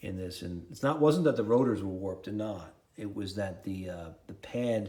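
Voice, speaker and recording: A dark, mellow voice in a New York accent at a fairly quick pace, with audible room echo. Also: man. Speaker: car enthusiast YouTuber. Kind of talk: DIY car repair tutorial. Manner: rambling, casual.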